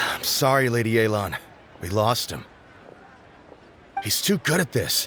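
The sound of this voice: A man puts on a character voice at a fairly low pitch with a bright, sharp tone. His pitch takes big swings. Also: fairly slow pace.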